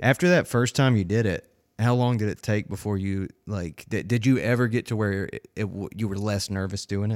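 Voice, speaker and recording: Fairly low-pitched male voice with a North Carolina accent, ordinary pitch variation, a moderate pace, hardly any pauses and a dry, close sound with no echo. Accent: Southern US (North Carolina). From North Carolina, Winston-Salem/King area. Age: 30s. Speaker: podcast host. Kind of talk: casual chat.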